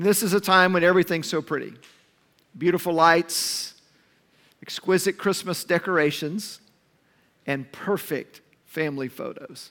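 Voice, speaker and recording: A man speaks at a moderate pace with long, frequent pauses. His high-pitched voice has a bright, sharp tone and fairly even intonation. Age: 50s. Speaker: pastor. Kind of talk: sermon.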